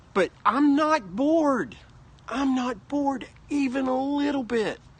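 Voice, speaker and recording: A mumbling man with an extremely high pitch, ordinary pitch variation, and a fairly slow pace. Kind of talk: casual talk to camera. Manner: rambling, mumbling.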